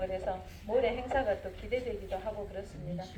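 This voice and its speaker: An animated woman's voice amid noticeable background noise and audible room echo. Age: 60s. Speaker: heritage site tour guide. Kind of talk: guided tour talk.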